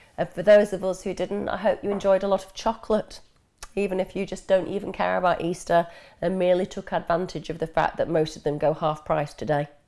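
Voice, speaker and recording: A woman with an English accent, a dark, mellow tone and medium pitch, very fast, fairly even in intonation but with big swings in loudness. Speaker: mental health expert answering viewer questions. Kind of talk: live Q&A stream. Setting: live stream.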